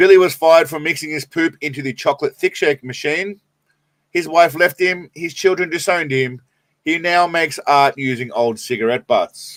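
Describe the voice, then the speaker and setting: The speaker is a man with a fairly high pitch. He has an Australian accent. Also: ordinary pitch variation, moderate pace, dry, close sound with no echo. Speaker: live streamer. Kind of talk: casual live stream chat.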